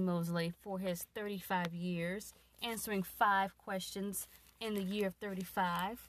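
A woman of medium pitch speaks in an unremarkable speaking voice with ordinary pitch variation. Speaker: host's wife, guest interviewer. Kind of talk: casual chat. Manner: playful, teasing.

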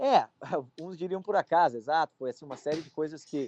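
A man speaks in an ordinary speaking voice at a fairly quick pace, with ordinary pitch variation over a quiet background. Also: dry, close sound with no echo. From Brazil. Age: 20s. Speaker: college student. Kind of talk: casual interview.

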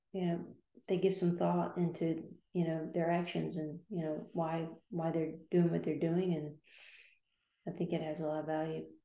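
In a fairly low voice, a woman talks at a moderate pace with a dark, mellow tone and flat, monotone intonation, leaving long, frequent pauses amid audible room echo. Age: 60s. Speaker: graphic designer. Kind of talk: casual chat. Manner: halting.

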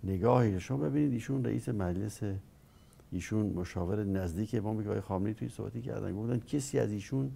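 A dark, mellow tone at a very fast pace. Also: man, fairly low pitch for a man, ordinary pitch variation. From Iran, Dezful (Khuzestan). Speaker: former political adviser, university professor. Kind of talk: interview.

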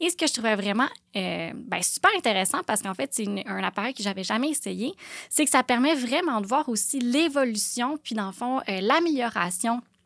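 With lively intonation, a woman talks at a fairly high pitch. The sound is dry and close with no echo, in a very clean recording with a silent background. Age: 30s. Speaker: aesthetic clinic owner. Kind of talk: casual monologue. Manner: halting.

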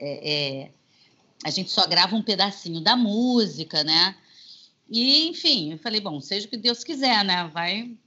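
A woman's medium-pitched voice with very wide pitch swings, a fairly slow pace and long, frequent pauses. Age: 50s. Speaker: singer and voice actress. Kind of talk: interview. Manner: animated.

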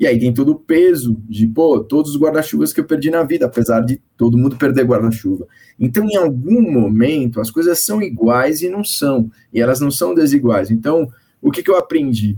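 A man speaks in a normal speaking voice at a fairly high pitch. His intonation is lively and his pace moderate. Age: 50s. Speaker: course director at advertising association. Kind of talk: panel discussion.

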